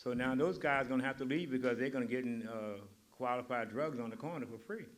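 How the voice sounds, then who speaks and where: Audible room echo surrounds a man speaking at a moderate speed. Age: 80s+. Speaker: community member and builder. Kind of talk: community forum remarks. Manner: halting. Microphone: poor recording quality.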